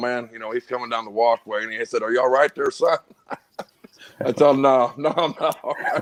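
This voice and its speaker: Speaking at a fairly quick pace, a man with a Missouri accent keeps a medium pitch. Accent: Midwestern American (Missouri). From North St. Louis, Missouri. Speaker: kayak angler, concrete worker. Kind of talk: casual chat.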